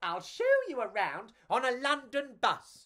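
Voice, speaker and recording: Putting on a character voice, a man talks at a fairly slow pace and an extremely high pitch. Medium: read story.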